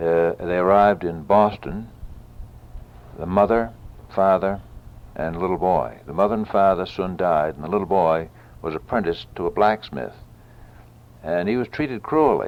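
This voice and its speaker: Very deep, low male voice with long, frequent pauses. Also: ordinary pitch variation, moderate pace. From New Hampshire, USA. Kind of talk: oral history tour narration. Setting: old home audio recording.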